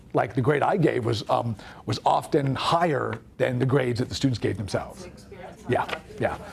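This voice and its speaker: Over noticeable background noise, a medium-pitched man speaks at a moderate pace with lively intonation. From US West (raised in Las Vegas). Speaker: professor. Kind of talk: workshop Q&A answer. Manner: halting, many fillers.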